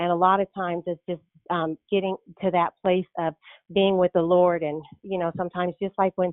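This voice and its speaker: A woman's fairly low, monotone voice at a moderate pace. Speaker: prayer line caller. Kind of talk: testimony. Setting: phone call. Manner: halting.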